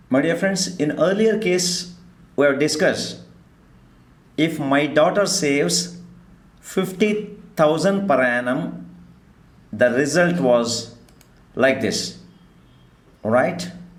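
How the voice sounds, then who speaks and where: A man with a fairly high pitch speaks at a very slow pace with lively intonation and long, frequent pauses, over noticeable background noise and audible room echo. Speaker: stock market teacher. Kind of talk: online class lecture.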